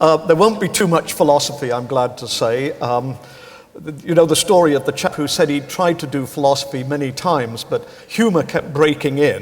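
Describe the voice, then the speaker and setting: There is noticeable background noise as a man with an English accent speaks at a moderate pace, fairly high in pitch with ordinary pitch variation. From northern England (Pontefract, Yorkshire). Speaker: philosophy professor. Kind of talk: public lecture.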